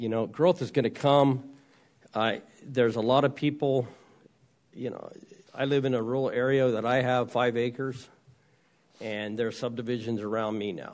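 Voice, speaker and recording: A man with an American accent speaks at a medium pitch with fairly even intonation, leaving long, frequent pauses. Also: moderate pace. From Arizona (East Mesa). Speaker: county supervisor. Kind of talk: public meeting deliberation. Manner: halting.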